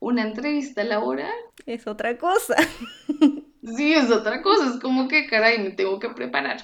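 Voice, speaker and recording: At a moderate pace, a woman speaks in a plain, everyday voice with a fairly high pitch and lively intonation. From Colombia (Bogotá). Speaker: cooking apprentice. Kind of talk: interview.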